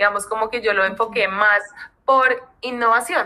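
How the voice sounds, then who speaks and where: A normal speaking voice from a woman, fairly high in pitch, at a fairly quick pace. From Colombia. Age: 30s. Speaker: people and culture lead. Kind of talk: casual interview.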